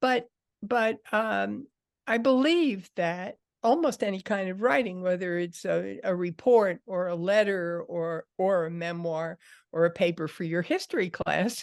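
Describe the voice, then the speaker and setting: A normal speaking voice from a woman at medium pitch, fairly slow, with ordinary pitch variation over a quiet background. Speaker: writing teacher. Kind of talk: lecture.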